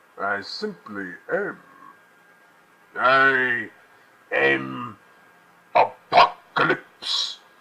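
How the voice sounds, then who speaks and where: A man puts on a character voice, speaking at a very slow pace with long, frequent pauses. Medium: voice reel. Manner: grandiose, menacing.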